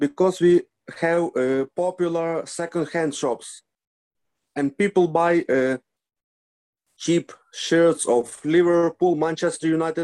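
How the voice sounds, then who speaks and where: Speaking in a Ukrainian accent at a very slow pace with long, frequent pauses, a man has a high pitch and a dark, mellow tone in a dry, close sound with no echo. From Ukraine, Lviv. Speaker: football fan. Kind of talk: interview. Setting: video call. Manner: halting.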